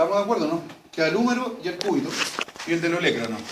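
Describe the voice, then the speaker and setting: With a Chilean accent, a man talks at a very fast pace in a high pitch with lively intonation, over noticeable background noise and audible room echo. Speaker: veterinary anatomy lecturer. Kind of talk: lecture. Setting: classroom with students. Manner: animated.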